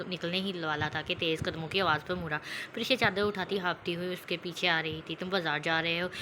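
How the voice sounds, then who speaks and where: A woman with a fairly low pitch keeps her intonation fairly even while noticeable background noise plays. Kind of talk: audio novel reading.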